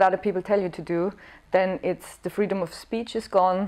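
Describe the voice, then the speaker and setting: A woman's monotone, flat intonation against a quiet background. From Austria. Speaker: comedian and actress. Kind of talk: interview. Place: home room.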